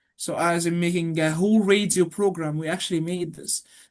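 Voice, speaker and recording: With an Arabic accent, a woman talks at a moderate pace and a fairly low pitch. Her pitch variation is ordinary, and the background is quiet. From Egypt. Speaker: university student. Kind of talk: interview.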